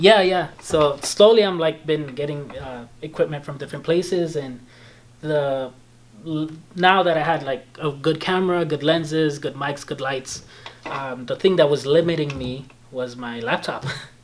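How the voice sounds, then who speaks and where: A man with a slight Belizean accent, fairly high pitch, ordinary pitch variation, a moderate pace and big swings in loudness. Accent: slight Belizean Creole-tinged English. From Belize (born in El Salvador). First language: Spanish. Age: 20s. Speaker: video editor and photographer. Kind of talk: casual chat.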